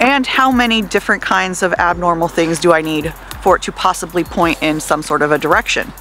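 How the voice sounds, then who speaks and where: Against light background noise, a woman speaks with ordinary pitch variation in a dry sound with no echo. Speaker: vlogger. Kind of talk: casual vlog chat. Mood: frustrated, venting. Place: street. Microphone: earbuds.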